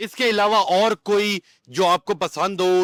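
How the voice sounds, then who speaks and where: A man's bright, sharp voice comes through in a very clean recording with a silent background. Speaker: interviewer, channel host. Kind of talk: interview questions.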